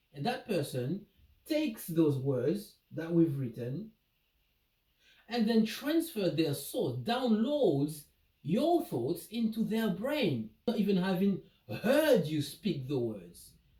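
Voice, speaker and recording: In a non-native accent, the speaker talks at a very slow pace. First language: not English. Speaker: vlogger. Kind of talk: casual monologue vlog. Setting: indoor home office. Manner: hesitant, repeats words.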